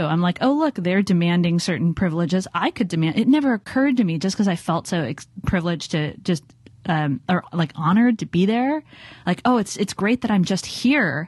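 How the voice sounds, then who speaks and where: This woman talks at a fairly quick pace in a Californian accent, keeping her loudness very even. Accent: General American (Californian). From US, Southern California (Los Angeles). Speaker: design strategist and author. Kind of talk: interview conversation.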